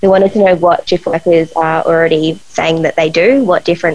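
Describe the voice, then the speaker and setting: With an Australian accent, a woman talks in a fairly low pitch with vocal fry and fairly even intonation. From Australia, Adelaide. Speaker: sleep researcher. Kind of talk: interview.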